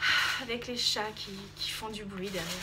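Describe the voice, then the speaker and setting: With noticeable background noise behind her, a woman speaks in a raised, projected voice. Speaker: YouTuber. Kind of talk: casual chat.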